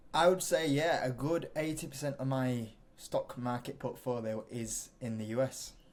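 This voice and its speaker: This man has a British accent. He keeps a moderate pace with ordinary pitch variation. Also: medium pitch for a man. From UK. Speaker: investing YouTuber. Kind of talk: interview.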